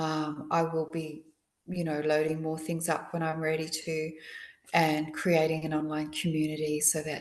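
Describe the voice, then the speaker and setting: This woman's pitch is very deep and low. She keeps to a moderate pace. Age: 60s. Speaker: akashic reader. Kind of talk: casual interview.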